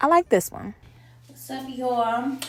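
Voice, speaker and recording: A high-pitched woman at a moderate pace, with audible room echo. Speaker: lifestyle vlogger. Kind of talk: vlog narration. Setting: parking structure. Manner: casual, chatty.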